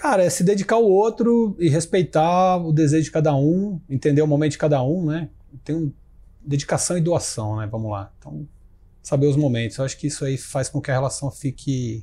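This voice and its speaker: A man speaks at a moderate pace in a fairly high pitch with lively intonation. His tone is dark and mellow, and somewhat breathy. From Brazil, Ribeirão Preto (São Paulo state). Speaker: tech entrepreneur and CEO. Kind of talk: interview.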